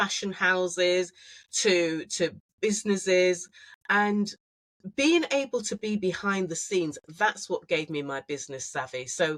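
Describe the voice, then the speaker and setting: A woman with a northern English accent speaks at a fairly slow pace and a medium pitch. The sound is dry and close, with no echo. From northern England, Manchester. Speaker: fashion designer. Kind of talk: casual chat.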